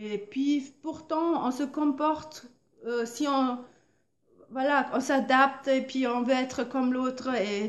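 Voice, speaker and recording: Speaking at a very slow pace, a woman with a German accent talks at a high pitch. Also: fairly even intonation. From Germany. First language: German (speaking French). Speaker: painter and artist vlogger. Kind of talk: motivational vlog monologue. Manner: halting, many hesitations and repetitions.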